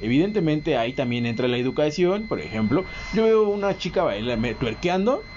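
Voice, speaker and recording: Noticeable background noise sits behind a man with a Mexican accent. His pitch is fairly high and swings very widely. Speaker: podcast co-host. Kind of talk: casual chat.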